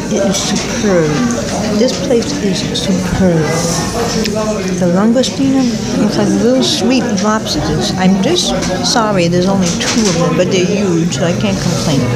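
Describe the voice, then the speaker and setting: Loud background noise runs under speech that moves at a fairly slow pace with long, frequent pauses. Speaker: traveling food vlogger. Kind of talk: casual vlog chat. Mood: delighted, savoring food. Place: bar. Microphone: phone near.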